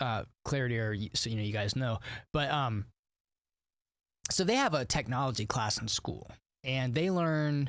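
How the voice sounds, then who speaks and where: A man with a medium pitch and ordinary pitch variation speaks with long, frequent pauses on a very clean recording with a silent background. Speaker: gaming streamer. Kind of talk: casual live stream chat. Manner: halting, many fillers and restarts; fast.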